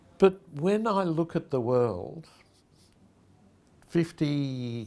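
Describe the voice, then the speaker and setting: Very slow and marked by long, frequent pauses, a man with an Australian accent speaks in a dark, mellow tone at a fairly high pitch with very wide pitch swings. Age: 70s. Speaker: pastor and charity founder. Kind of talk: reflective personal address. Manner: conversational.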